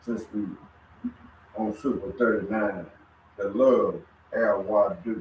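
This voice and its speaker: The speaker goes at a very slow pace with long, frequent pauses and fairly even intonation. Noticeable background noise is present. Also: man, fairly low pitch for a man. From USA. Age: 70s. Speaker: religious study group member. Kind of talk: religious group discussion.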